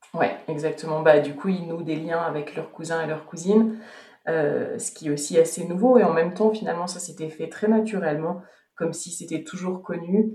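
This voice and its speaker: This woman has an ordinary speaking voice, fairly low in pitch, delivered at a moderate pace with big swings in loudness. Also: ordinary pitch variation. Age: 30s. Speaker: podcaster and returning expat. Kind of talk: testimony.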